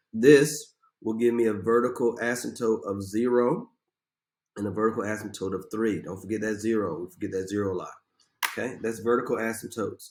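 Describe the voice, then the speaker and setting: Here is a man with an ordinary speaking voice, medium in pitch. His intonation is fairly even and his pace fairly quick. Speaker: math teacher. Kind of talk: tutorial. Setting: recorded video lesson.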